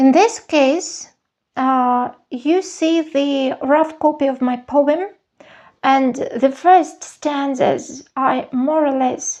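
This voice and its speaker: A woman with a Russian accent speaks at a very slow pace in a high voice, with ordinary pitch variation and a quiet background. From Soviet Union (Russian-speaking). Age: 50s. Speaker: journaling vlogger. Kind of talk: show-and-tell tutorial. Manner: hesitant, with fillers.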